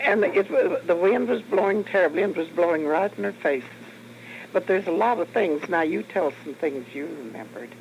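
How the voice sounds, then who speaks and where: Fairly quick talking against noticeable background noise. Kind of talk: oral history interview answer.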